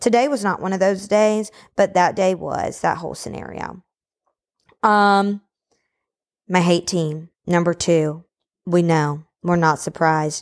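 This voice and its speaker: On a very clean recording with a silent background, a woman speaks in an animated tone at a fairly low pitch with ordinary pitch variation and long, frequent pauses. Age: 20s. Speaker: sports podcast host. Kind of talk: casual monologue. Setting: home.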